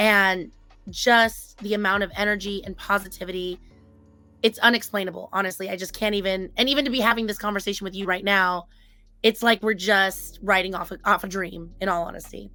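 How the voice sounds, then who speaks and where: Music plays behind a woman speaking at a medium pitch. Her tone is animated. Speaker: e-commerce software company staff member. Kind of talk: casual chat.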